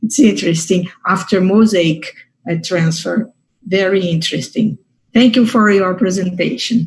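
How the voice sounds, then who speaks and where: A woman with a Portuguese accent talks at a moderate pace in a medium pitch. Her voice is somewhat breathy, with ordinary pitch variation. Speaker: fertility doctor. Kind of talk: academic discussion. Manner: halting.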